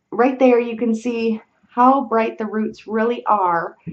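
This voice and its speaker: The speaker is a woman with a fairly high pitch. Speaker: beauty vlogger. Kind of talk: product review vlog. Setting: home webcam recording.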